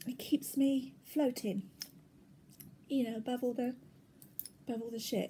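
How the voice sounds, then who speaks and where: This voice has a dark, mellow tone, moving at a fairly slow pace with fairly even intonation. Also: woman. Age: middle-aged. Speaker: cross-stitch video blogger. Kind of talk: casual vlog chat.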